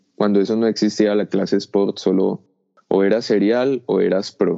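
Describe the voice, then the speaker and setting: A man's fairly low, monotone, flat voice at a fairly slow pace. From Colombia. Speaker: paraglider pilot. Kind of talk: interview. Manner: halting.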